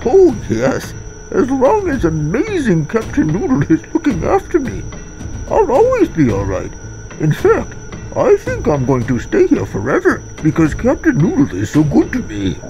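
Clear music plays in the background as a man performs a put-on character voice. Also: moderate pace. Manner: buzzing, as if a bee were in the mouth.

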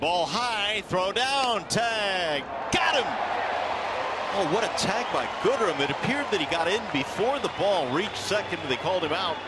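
A man speaks over loud background noise. The sound itself is dry, with no echo. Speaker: baseball play-by-play announcer. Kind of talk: live baseball play-by-play commentary, rapid call of each pitch and play. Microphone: headset.

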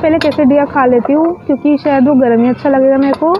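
Faint music plays behind a woman's high-pitched voice. Her intonation stays fairly even.

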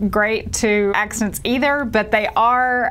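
A woman speaks with fairly even intonation. Light background noise is present. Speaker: RV travel vlogger. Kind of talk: explainer talk to camera. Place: home room. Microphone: lapel.

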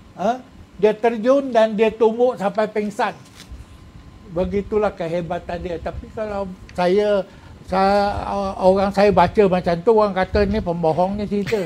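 A man with a high pitch and a dark, mellow tone speaks at a fairly slow pace with fairly even intonation. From Malaysia. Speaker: retired police officer and author; guest. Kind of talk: casual chat. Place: studio. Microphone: lapel.

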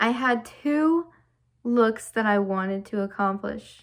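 Over a quiet background, a woman with an American accent speaks at a fairly high pitch in an animated tone with ordinary pitch variation. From US South. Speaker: YouTuber. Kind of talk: casual vlog chat. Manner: animated, laughing often. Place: home room. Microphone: phone near.

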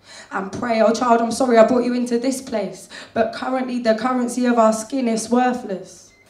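Room echo can be heard as the woman talks. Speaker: slam poet. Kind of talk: spoken word slam performance. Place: cafe.

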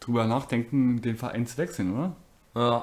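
A man talks at a medium pitch. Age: 20s. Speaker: let's play gamer. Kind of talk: live gameplay commentary. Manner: animated, excitable with exclamations.

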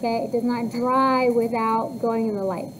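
The intonation stays fairly even. Light background noise can be heard. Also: woman. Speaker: cosmetology teacher. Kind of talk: classroom instructions. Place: classroom.

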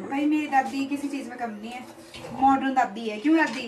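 A high-pitched woman's voice with fairly even intonation amid noticeable background noise. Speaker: vlogger. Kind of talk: casual vlog chat.

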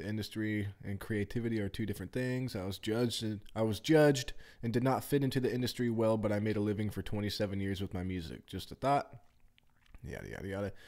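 At a fairly quick pace, a man speaks at a fairly low pitch with ordinary pitch variation over a quiet background. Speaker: streamer. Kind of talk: casual vlog chat reading comments aloud. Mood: casual, wry. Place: home room. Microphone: studio mic.

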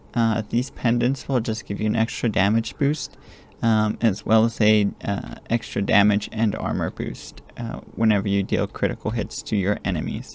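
Quiet and dry with no echo, a man's fairly low voice moves at a moderate pace with fairly even intonation. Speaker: gaming tutorial creator. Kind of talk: game tutorial voiceover. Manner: quiet, low volume. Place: home room.

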